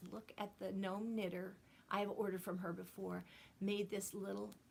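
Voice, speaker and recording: Speaking at a moderate pace, a woman uses a medium pitch with vocal fry. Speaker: knitting video podcaster. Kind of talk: casual chat. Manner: loud.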